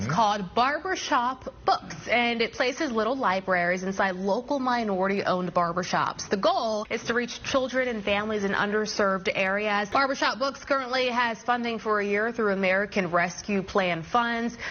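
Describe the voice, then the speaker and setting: Noticeable background noise sits behind a woman speaking at a moderate pace with hardly any pauses. Her voice is fairly high, with ordinary pitch variation and very even loudness. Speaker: news anchor. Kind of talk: TV news anchor read.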